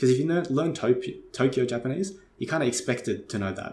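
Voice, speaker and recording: Noticeable background noise runs under this recording. A man with an Australian accent speaks with lively intonation. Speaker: Japanese language learning youtuber. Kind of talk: casual talk to camera. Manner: casual, filler-heavy with false starts.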